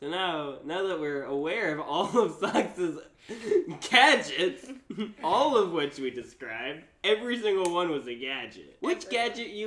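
A man speaks at a fairly slow pace with a high pitch. Background noise is noticeable. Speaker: podcast host. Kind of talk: casual, joking.

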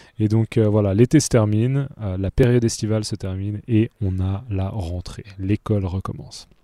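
A man speaks at a moderate pace in a dark, mellow tone with fairly even intonation. The sound is dry and close with no echo, in a very clean recording with a silent background. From Switzerland, Geneva. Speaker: French teacher podcaster. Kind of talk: language lesson podcast. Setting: outdoors in a park. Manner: hesitant, many fillers.

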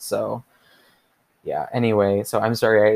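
A man with an American accent speaks at a fairly low pitch. His intonation is monotone and flat, and the sound is dry and close with no echo. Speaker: podcast host. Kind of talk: solo podcast monologue, personal story. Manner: casual, hesitant, filler words.

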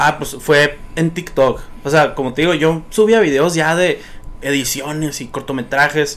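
An unremarkable speaking voice from a man, fairly high in pitch, fairly slow, with fairly even intonation. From Sonora, Mexico (Nogales and Hermosillo). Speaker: social media content creator. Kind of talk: casual chat. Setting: studio.

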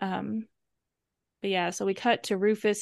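With an American accent and a plain, everyday voice, a woman speaks at medium pitch with ordinary pitch variation in a dry, close recording with no echo. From US South. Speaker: podcast co-host. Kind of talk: casual chat.

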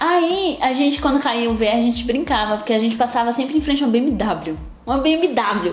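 A woman talks at a high pitch with very even loudness, amid noticeable background noise and audible room echo. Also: lively intonation, moderate pace. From São Paulo, Brazil (Capão Redondo). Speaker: body analysis coach and podcast co-host. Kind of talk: casual chat.

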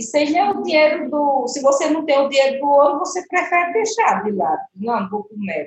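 A woman speaks at a moderate pace with a high pitch. Her pitch swings very widely, and she hardly pauses at all. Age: 60s. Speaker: retired cleaning assistant. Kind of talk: interview.

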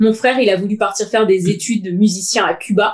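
The woman's fairly high voice unfolds at a fairly slow pace. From Paris suburbs (Seine-Saint-Denis). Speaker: podcast co-host. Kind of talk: casual chat.

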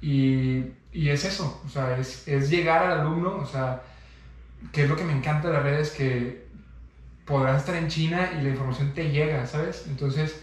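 At a moderate pace, a man with a Mexican accent speaks at a fairly high pitch with fairly even intonation and audible room echo. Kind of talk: casual chat.

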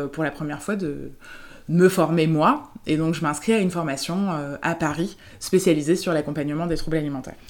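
Recorded very cleanly against a silent background, a woman speaks with a very deep, low pitch and ordinary pitch variation. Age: 30s. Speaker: therapist. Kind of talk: interview.

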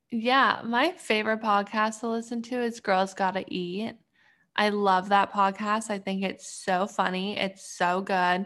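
A normal speaking voice from a woman at a medium pitch, with fairly even intonation and a fairly slow pace, in a very clean recording with a silent background. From Canada. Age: 20s. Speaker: PhD student and clothing brand owner. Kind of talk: casual interview chat.

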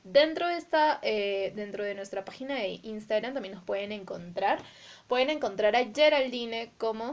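Using a normal speaking voice, a woman with a fairly high pitch talks at a moderate pace, her intonation lively and her loudness swinging a great deal. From Peru, Arequipa. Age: 20s. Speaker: podcast co-host. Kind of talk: casual chat.

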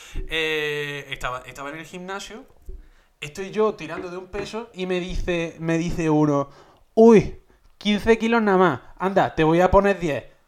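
The voice moves at a fairly slow pace with ordinary pitch variation. Its loudness swings widely. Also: man, high pitch for a man. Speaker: podcast co-host. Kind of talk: casual chat. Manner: animated.

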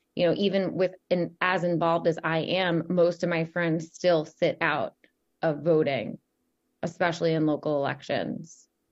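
A woman talks at a moderate pace and a fairly low pitch, with fairly even intonation. She has an unremarkable speaking voice. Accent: American. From New York, Long Island. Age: 30s. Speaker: political talk show host. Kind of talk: interview.

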